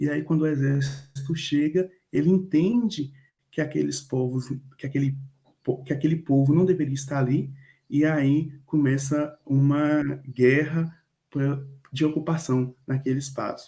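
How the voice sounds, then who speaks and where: A man speaks at a fairly slow pace in a fairly high, somewhat breathy voice. His tone is dark and mellow. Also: fairly even intonation. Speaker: university student presenter. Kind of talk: class presentation.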